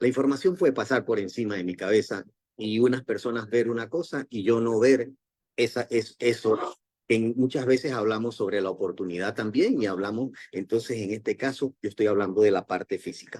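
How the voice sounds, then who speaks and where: With ordinary pitch variation at a medium pitch, a man talks in a plain, everyday voice. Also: moderate pace. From Panama. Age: 60s. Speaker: network marketing distributor, former doctor. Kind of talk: motivational talk.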